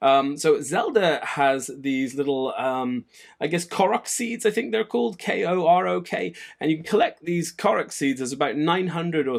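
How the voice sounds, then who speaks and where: Lively intonation marks this man's unremarkable speaking voice. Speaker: gaming news show host. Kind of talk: solo gaming news commentary.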